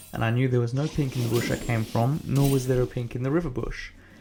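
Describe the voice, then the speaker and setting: Music plays in the background as a man speaks at a fairly quick pace. His voice sits at medium pitch with monotone, flat intonation. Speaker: gaming commentator. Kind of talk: gameplay commentary voiceover.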